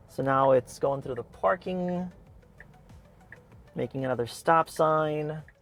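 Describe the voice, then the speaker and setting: Fairly high-pitched male speech at a fairly slow pace, ordinary pitch variation, long and frequent pauses, and music in the background. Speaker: EV car reviewer. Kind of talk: live driving commentary. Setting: in a car. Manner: casual, unscripted with stumbles.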